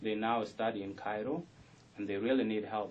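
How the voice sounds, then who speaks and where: The speech runs at a fairly quick pace, with audible room echo. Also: man. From South Sudan. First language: South Sudanese language (mother tongue). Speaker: rapper. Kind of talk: radio interview. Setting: radio studio.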